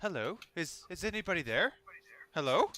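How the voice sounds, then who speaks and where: Putting on a raspy character voice, a man speaks high in pitch at a moderate pace with very wide pitch swings. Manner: calling out, uncertain.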